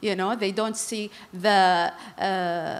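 A woman speaks with an Arabic accent. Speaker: government delegate; speaker. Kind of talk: panel discussion. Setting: stage with audience. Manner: hesitant, frequent fillers. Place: stage. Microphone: handheld.

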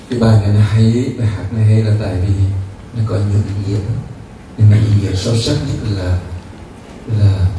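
With strong room echo and noticeable background noise, a man speaks at a fairly low pitch in a flat monotone, at a moderate pace with long, frequent pauses. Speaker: monk teacher. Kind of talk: dharma talk. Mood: calm, gentle. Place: hall.

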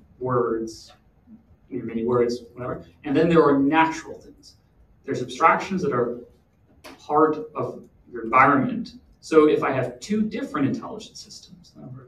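A man speaks with big swings in loudness and long, frequent pauses. Light background noise and audible room echo are present. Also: moderate pace. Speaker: conference panelist. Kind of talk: panel Q&A explanation. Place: meeting room.

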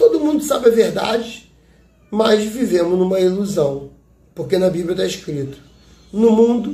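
Audible room echo surrounds a man whose high-pitched voice has a dark, mellow tone, lively intonation and a fairly slow pace. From Brazil. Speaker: YouTube commentator. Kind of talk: political commentary monologue. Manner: animated. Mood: indignant political opinion. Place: home room. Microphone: phone near.

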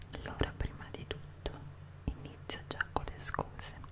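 Whispering at a fairly slow pace, a woman speaks. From Italy. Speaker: ASMR creator. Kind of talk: ASMR show and tell. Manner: whispered, soft-spoken. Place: home room. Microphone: studio mic.

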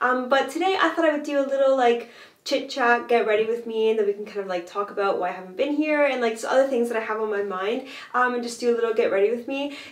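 A woman talks at a very fast pace in a high pitch, with ordinary pitch variation. Audible echo from the room surrounds her voice. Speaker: fashion and vintage blogger. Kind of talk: casual talk to camera. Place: bathroom.

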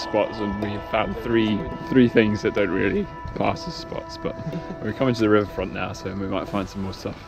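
A man talks at a fairly low pitch over clear music in the background. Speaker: parkour vlogger. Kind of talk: casual vlog chat. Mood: upbeat, joking. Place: street. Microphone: phone near.

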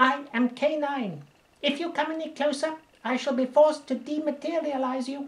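Putting on a character voice, a man pitches it extremely high. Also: moderate pace. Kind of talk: audiobook character reading. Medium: read story. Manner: clipped, logical, deadpan.

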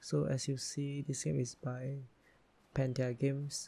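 A soft-spoken man's whisper, somewhat breathy. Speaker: gaming YouTuber. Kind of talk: ASMR gaming commentary, casual talk to camera. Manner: soft-spoken, whispered.

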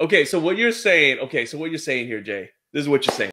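A man at a fairly quick pace, fairly high-pitched, with a bright, sharp tone and big pitch swings

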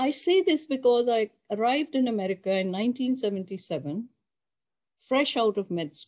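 A woman speaks at a fairly slow pace in a fairly high voice, her pitch swinging very widely and her loudness rising and falling sharply against a quiet background. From Pakistan. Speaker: oncologist professor. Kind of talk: lecture. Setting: video call. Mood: somber, earnest. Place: home room.

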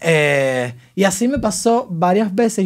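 Over a quiet background, a man's voice is heard. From Cuba. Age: 20s. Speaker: social media comedian; podcast guest, content creator. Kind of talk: interview. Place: studio. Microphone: studio mic.

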